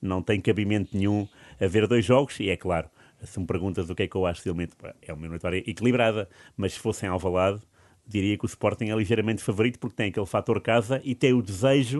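Over a quiet background, a man speaks very fast in a fairly low pitch with ordinary pitch variation. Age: 40s. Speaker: football pundit. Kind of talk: casual chat. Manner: halting, many repetitions.

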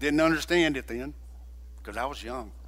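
A man talks at a moderate pace. Room echo can be heard clearly. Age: 60s. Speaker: guest preacher. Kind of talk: sermon. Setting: church.

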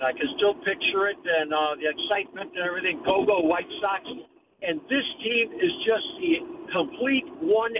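A man's extremely high voice with an American accent, moderate pace and very wide pitch swings, plus noticeable background noise. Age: 70s. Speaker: caller. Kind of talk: sports radio call-in. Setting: phone call.

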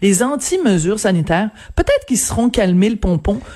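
Here is a woman with a plain, everyday voice, pitched fairly high. She talks at a moderate pace with lively intonation. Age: 50s. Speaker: newspaper columnist. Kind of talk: radio interview.

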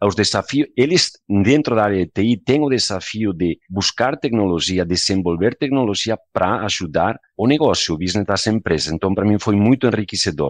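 A man with a Spanish accent and a fairly low pitch speaks at a moderate pace with lively intonation and hardly any pauses, in a dry, close sound with no echo and a quiet background. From Spain. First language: Spanish (speaking Portuguese). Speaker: software company country manager. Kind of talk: casual interview.

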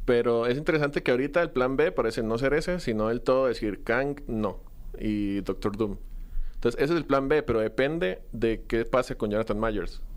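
A man speaks in an unremarkable speaking voice at medium pitch and a moderate pace. His loudness stays very even, with ordinary pitch variation. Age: 20s. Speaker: film content creator. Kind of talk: casual chat.

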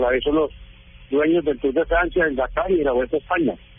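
Noticeable background noise surrounds a man whose voice sits at a fairly high pitch. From Colombia, Medellín. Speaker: sports agency director. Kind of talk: interview.

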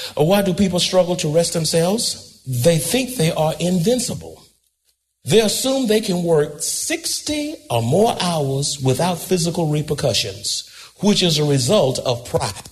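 Over background music, a man with a high voice speaks fairly slowly and with lively intonation. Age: 80s+. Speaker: pastor. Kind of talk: sermon. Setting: church. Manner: animated.

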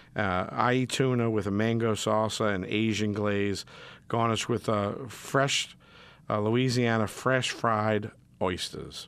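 This man has a New Orleans accent and a fairly low pitch, speaking at a fairly slow pace. His loudness stays very even, and the recording is very clean with a silent background. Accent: New Orleans yat. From New Orleans, Metairie. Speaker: chef, fill-in radio host. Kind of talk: casual radio talk. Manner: animated.

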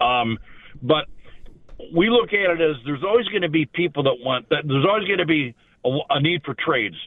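A man at a fairly high pitch, with lively intonation, a fairly quick pace, and long, frequent pauses. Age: 60s. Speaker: caller, retired factory worker. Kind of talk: radio call-in. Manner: halting, many fillers.

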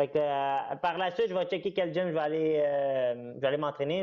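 It is an ordinary speaking voice. Delivery runs at a moderate speed. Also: man. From Quebec. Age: 20s. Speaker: MMA fighter. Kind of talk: interview.

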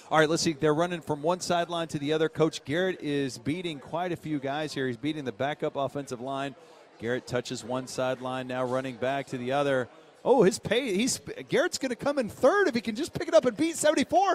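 Over noticeable background noise, a man with a fairly high voice talks fairly quickly in an energetic tone with lively intonation. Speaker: sports radio co-host. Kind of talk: live radio play-by-play of football practice. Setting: outdoors at team practice. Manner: rapid, energetic play-by-play, clipped yard-line updates; casual, laughing banter with filler uhs.

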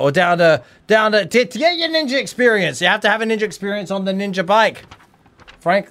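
A man talks at a fairly quick pace with an Australian accent. His pitch is high and his intonation lively. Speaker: wrestler, singer and podcast co-host. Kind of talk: casual chat. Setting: radio studio. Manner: animated.

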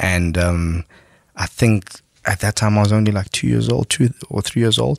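The sound is dry and close with no echo as a man speaks at a fairly low pitch with lively intonation. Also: very clean recording, silent background. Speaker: musician, trumpeter in a band. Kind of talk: casual interview chat. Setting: studio with mics. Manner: composed and chilled.

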